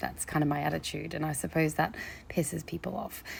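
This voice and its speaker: This woman's pitch is very deep and low. Vocal fry runs through her voice. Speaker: social media creator. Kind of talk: casual monologue to camera. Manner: fast; animated.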